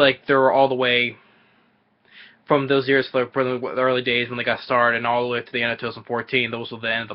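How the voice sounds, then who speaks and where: This man's voice sits at a medium pitch. He talks at a fairly quick pace. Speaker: YouTuber answering viewer questions. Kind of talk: casual Q&A monologue. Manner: stutters and repeats when talking fast; halting, many fillers like you know.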